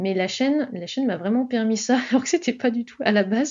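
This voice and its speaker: A woman speaks at a fairly quick pace with a fairly high, somewhat breathy voice. Her intonation is lively. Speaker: author and writing advice YouTuber. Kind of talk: interview. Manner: fast; swallows syllables.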